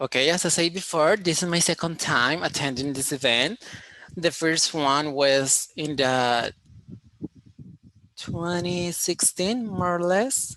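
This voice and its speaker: A man with a Colombian accent speaks very slowly in a high pitch, his tone bright and sharp and his pitch variation ordinary. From Colombia, Cali. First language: Spanish. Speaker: engineering student presenter. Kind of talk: online conference presentation. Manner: halting, with many fillers.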